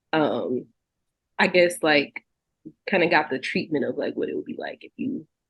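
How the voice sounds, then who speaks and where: A woman speaks at a moderate pace in a Southern US accent. She leaves long, frequent pauses. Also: big swings in loudness. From Texas. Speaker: singer and songwriter. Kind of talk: interview. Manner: casual, many fillers.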